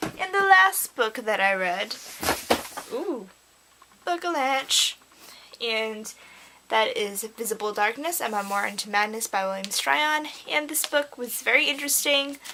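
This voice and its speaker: With noticeable background noise behind her, a woman speaks fairly slowly in a fairly high pitch, taking long, frequent pauses and making very wide pitch swings. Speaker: book vlogger. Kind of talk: casual chat. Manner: animated.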